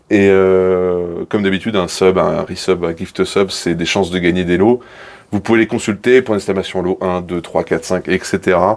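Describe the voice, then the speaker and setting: Speaking with a very deep, low pitch, a man keeps to a moderate pace. The intonation is fairly even. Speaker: streamer. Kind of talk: live stream urbex tour. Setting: abandoned building. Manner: loud.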